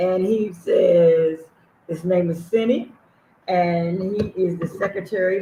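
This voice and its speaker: At a fairly slow pace, a woman with a somewhat breathy voice speaks at a fairly low pitch with ordinary pitch variation. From USA. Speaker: livestream host and charity founder. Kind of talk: casual livestream chat. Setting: livestream, reading chat.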